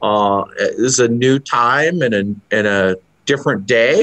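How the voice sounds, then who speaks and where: A man speaks in a bright, sharp tone with ordinary pitch variation against a quiet background. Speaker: museum executive director. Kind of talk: interview host. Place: office. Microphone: video call.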